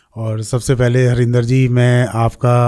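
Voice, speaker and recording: Monotone, flat intonation marks this man's dark, mellow tone. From Haridwar, India. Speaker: astrologer. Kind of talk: interview.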